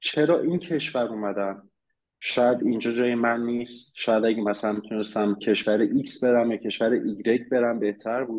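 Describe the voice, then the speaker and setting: At a moderate pace, a man of medium pitch talks in an ordinary speaking voice with fairly even intonation. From Iran. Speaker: immigrant sharing experience. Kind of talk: casual interview chat.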